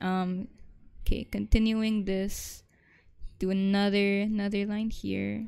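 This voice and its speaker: Speaking at a very slow pace with long, frequent pauses, a woman uses a medium pitch, a dark, mellow tone and monotone, flat intonation. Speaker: art teacher. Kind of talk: live drawing tutorial. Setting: online class stream. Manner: casual, filler-heavy; stuttering at times.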